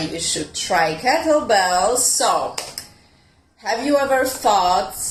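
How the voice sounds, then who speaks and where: A woman speaks with an Italian accent at a very slow pace. Audible room echo surrounds her voice. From Italy. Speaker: fitness coach. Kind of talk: online fitness talk. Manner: hesitant, with many fillers.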